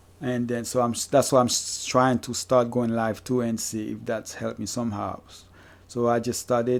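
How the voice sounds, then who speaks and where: Here a man speaks with a Haitian accent. His voice sits at a medium pitch. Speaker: fantasy basketball streamer. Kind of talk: live stream chat with Q&A. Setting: live stream. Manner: halting. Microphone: new microphone.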